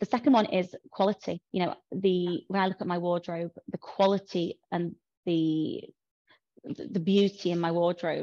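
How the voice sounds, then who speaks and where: In a Yorkshire accent, a woman speaks at a moderate pace with a fairly low pitch and fairly even intonation, the sound dry and close with no echo over a quiet background. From Yorkshire, northern England. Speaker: fashion and bridal content creator. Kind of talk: casual interview chat.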